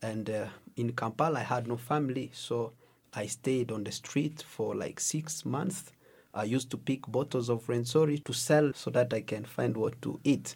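At a moderate pace, a man speaks in a somewhat breathy voice of medium pitch. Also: ordinary pitch variation. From DR Congo. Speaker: youth minister. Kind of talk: testimony. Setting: on location.

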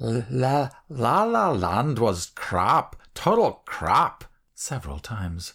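A somewhat breathy man's voice of medium pitch with very wide pitch swings, in a very clean recording with a silent background. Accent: English. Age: 60s. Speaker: author and narrator. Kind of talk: reading aloud. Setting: studio.

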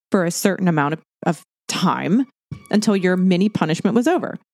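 This is a woman with a normal speaking voice at a medium pitch. She talks at a fairly quick pace with ordinary pitch variation. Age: 50s. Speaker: podcast co-host, former personal trainer. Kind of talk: casual chat.

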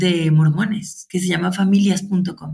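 The speaker is a woman with a medium-pitched, somewhat breathy voice. She keeps a moderate pace. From Mexico, Guadalajara. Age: 40s. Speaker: teacher and mother of seven. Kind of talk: interview.

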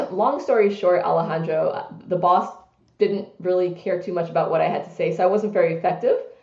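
Talking very fast with an American accent, a woman at medium pitch is heard with audible room echo and noticeable background noise. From US, New York City (Brooklyn). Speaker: business executive. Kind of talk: interview.

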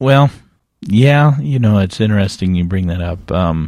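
A man with an unremarkable speaking voice and a fairly low pitch talks at a moderate pace with lively intonation, the sound dry and close with no echo. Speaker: guest, church member.

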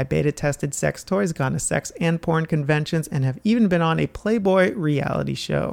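A man with an ordinary speaking voice talks in a fairly high pitch at a moderate pace, with lively intonation, very even loudness and hardly any pauses. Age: 30s. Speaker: podcast host. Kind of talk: casual monologue.

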